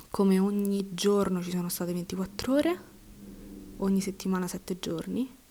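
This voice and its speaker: Her voice is somewhat breathy with a dark, mellow tone and fairly even intonation. This woman speaks at a fairly slow pace, leaving long, frequent pauses. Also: medium pitch for a woman. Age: 20s. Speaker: podcaster and university student. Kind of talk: personal monologue.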